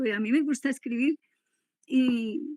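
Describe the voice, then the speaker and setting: A woman's high-pitched voice. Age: 80s+. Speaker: relative of a disappeared person. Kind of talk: testimony. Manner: halting.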